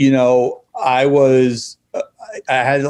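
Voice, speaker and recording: A man talks in a New York accent. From New York City. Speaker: nonprofit founder and school social worker. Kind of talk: interview. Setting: video call.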